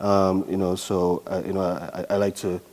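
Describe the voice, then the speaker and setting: At a fairly slow pace, a man speaks with a very deep, low pitch and a dark, mellow tone, his intonation monotone and flat. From Trinidad and Tobago. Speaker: artist and author. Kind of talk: interview. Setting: studio. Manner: halting, many fillers.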